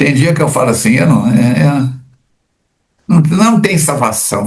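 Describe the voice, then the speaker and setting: The speaker sounds somewhat breathy, moving at a moderate pace with lively intonation. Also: man. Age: 70s. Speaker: spiritist study leader. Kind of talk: religious book study discussion. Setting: recording from home.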